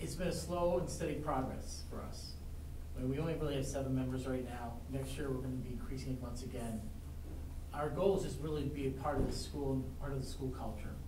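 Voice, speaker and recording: A fairly quick pace against noticeable background noise. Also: man. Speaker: teacher. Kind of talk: informal presentation to committee. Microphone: camera far.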